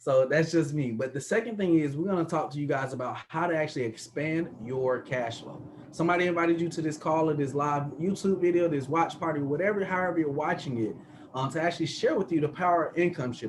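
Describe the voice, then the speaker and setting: A man with an American accent and a fairly high voice speaks very fast, with ordinary pitch variation. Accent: country twang. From US South, Atlanta. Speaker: sales presenter, business mentor. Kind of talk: sales pitch. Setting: video call. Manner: animated.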